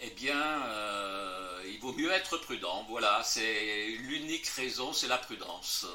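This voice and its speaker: A man's medium-pitched voice with lively intonation at a very slow pace, plus audible room echo and noticeable background noise. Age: 80s+. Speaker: lecturer and author on fringe theories. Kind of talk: interview Q&A after a lecture. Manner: hesitant with many fillers.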